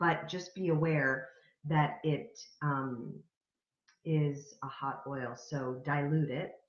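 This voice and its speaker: With ordinary pitch variation, a woman speaks in a somewhat breathy voice. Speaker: spiritual wellness vlogger. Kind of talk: weekly spiritual message monologue, card reading. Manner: calm, soft-spoken, warm, hesitant with fillers.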